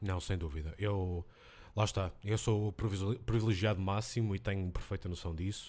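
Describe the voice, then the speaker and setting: A man with an ordinary speaking voice talks at a moderate pace, his fairly low pitch held to fairly even intonation. The recording is very clean, with a silent background. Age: 20s. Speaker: language teacher. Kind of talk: casual chat. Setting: home office.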